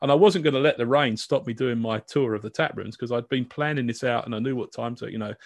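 The speaker talks at a very fast pace with a British accent. The background is quiet. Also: man, medium pitch for a man, ordinary pitch variation. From UK. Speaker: podcast host. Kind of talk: casual interview chat.

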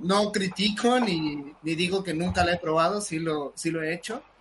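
A man at a high pitch and moderate pace, against noticeable background noise. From southern Veracruz, Mexico. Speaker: podcast co-host. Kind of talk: casual chat.

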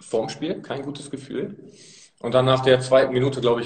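A man's medium-pitched, moderately paced delivery in an ordinary speaking voice. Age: 20s. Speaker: amateur football player. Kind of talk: casual interview. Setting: live video stream from a press room.

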